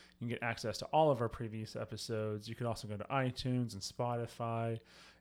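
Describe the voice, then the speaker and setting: This man has a normal speaking voice at a medium pitch. He talks at a moderate pace. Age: 40s. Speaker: church podcast host, pastor. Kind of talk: casual chat; podcast promo. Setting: studio with microphones.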